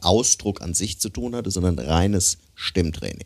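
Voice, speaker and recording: A man speaks in a very deep, low voice at a fairly slow pace. His intonation is lively. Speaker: podcast co-host, musician and voice coach. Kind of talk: casual interview chat. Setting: studio.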